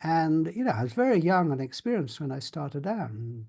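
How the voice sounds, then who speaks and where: A man's somewhat breathy voice with a dark, mellow tone and very wide pitch swings, fairly quick, over a quiet background. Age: 70s. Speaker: spiritual workshop leader. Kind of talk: experiential talk to a group. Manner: halting.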